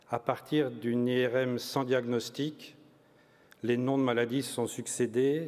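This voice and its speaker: At a very slow pace, a man speaks with monotone, flat intonation. His pitch is medium. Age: 60s. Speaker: family caregiver of a spouse with Alzheimer's. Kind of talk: testimony at a conference.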